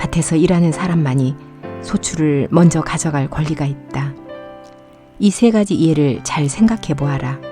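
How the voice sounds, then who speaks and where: Music plays in the background as a woman speaks at a moderate pace. Her very deep, low voice carries lively intonation. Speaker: audiobook narrator, senior voice actor. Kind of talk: Bible reading.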